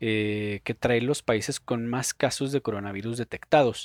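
Fairly slow speech from a man, the pitch varying in an ordinary way. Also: dry, close sound with no echo. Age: 20s. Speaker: podcast host. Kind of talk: solo opinion monologue. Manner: halting, many fillers.

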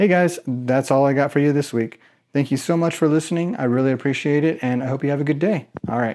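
On a very clean recording with a silent background, a man speaks at a very fast pace in a fairly high pitch with a dark, mellow tone and ordinary pitch variation. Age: 30s. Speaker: podcast host, aspiring online marketer. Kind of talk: solo podcast update. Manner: casual.

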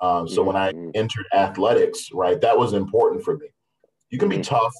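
A man's voice is somewhat breathy. He talks at a moderate pace, his intonation fairly even. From Baltimore. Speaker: school district diversity director. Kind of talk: casual interview chat.

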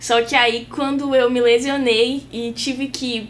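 Here a woman is speaking. Her pitch is high. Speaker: physiotherapy student. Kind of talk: casual chat.

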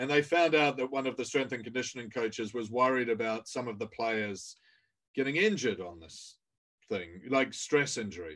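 Over a quiet background, a man with a British accent talks at medium pitch with lively intonation. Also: moderate pace, big swings in loudness. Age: 50s. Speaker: author and leadership coach. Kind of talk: interview podcast. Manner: halting, many fillers.

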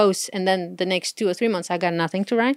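In a Portuguese accent, a woman speaks at a medium pitch with fairly even intonation, on a very clean recording with a silent background and a dry, close sound with no echo. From Portugal. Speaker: blogger and engineer. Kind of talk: casual chat.

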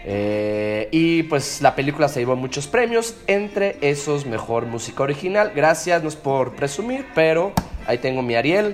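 A man with a Mexican accent and a fairly high pitch speaks in a playful, animated tone at a fairly slow pace, with very wide pitch swings, hardly any pauses, and noticeable background noise. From Mexico City, raised from age 3 (born Colombia). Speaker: musician, drummer. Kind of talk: radio guest DJ presenting music. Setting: remote line from Mexico City.

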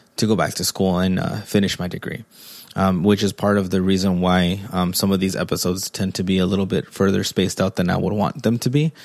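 The voice carries a Spanish accent on a very clean recording with a silent background. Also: man. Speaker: podcast host, father. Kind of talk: solo monologue podcast. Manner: halting, many fillers.

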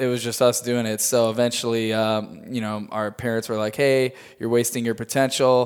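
Barely pausing, a man with an American accent speaks at a moderate pace and medium pitch in a monotone, flat way. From US Midwest, Chicago area, Illinois. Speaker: tour manager and production company owner. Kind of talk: casual interview. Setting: studio in Hollywood.

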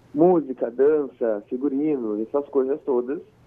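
With fairly even intonation, the words come in an unremarkable speaking voice. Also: man. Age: 20s. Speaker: drag queen and makeup artist. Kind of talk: interview.

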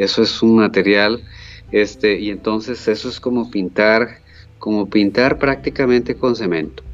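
A man speaks at a fairly slow pace in a fairly low voice, with ordinary pitch variation. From Costa Rica, Guápiles area. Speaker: painter. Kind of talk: interview.

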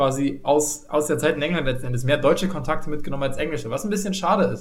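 Speaking very fast at a fairly high pitch, the man is heard through audible room echo and noticeable background noise. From Saxony, eastern Germany. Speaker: podcast host. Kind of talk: casual chat.

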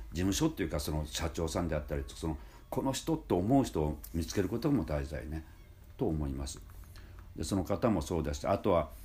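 Vocal fry in a man's very deep, low voice, lively intonation, fairly quick delivery. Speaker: music school head and voice trainer. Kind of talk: casual monologue. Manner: relaxed, many filler pauses.

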